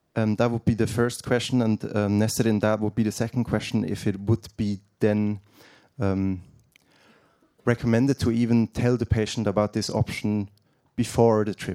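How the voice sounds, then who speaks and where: Recorded dry and close with no echo, a man speaks at a moderate pace with a dark, mellow tone, a fairly low pitch and flat, monotone intonation. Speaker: audience member. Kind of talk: Q&A question. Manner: halting.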